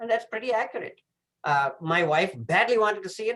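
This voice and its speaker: A man speaks in a Tamil accent at a moderate pace. His intonation is lively. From southern India. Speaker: professor. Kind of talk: presentation. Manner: hesitant, many fillers.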